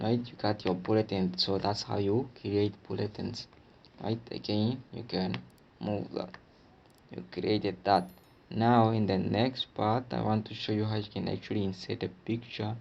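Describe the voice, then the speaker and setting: The speaker is a man with a fairly low pitch. He talks at a fairly slow pace. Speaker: tech tutorial presenter. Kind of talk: tutorial. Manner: casual, filler-heavy.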